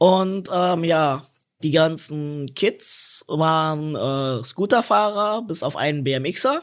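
A man's fairly high voice moves at a very slow pace. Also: ordinary pitch variation. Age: 30s. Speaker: wheelchair skater. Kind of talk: casual chat.

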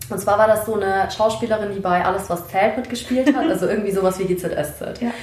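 There is audible room echo and noticeable background noise. Over it, a woman talks at a very fast pace in a medium pitch. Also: ordinary pitch variation. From Germany, Munich. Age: 20s. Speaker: sociology student and activist. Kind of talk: casual interview conversation.

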